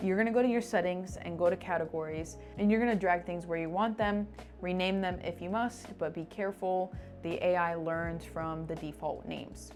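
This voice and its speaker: Fairly low pitch from a woman, fairly even intonation, moderate pace, music in the background. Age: 20s. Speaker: personal finance youtuber. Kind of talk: tutorial. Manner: casual and chatty.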